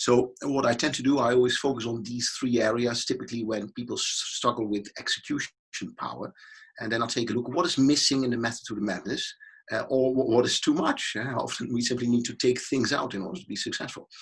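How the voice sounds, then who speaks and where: A man speaks at a very fast pace in a medium pitch. His voice is somewhat breathy, with fairly even intonation. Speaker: business consultant and keynote speaker. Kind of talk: interview.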